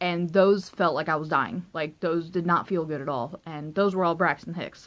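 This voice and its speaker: A woman's shaky voice moves at a moderate pace. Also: fairly low pitch for a woman, fairly even intonation. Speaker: vlogger. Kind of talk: personal storytelling vlog. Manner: rambling, filler-heavy.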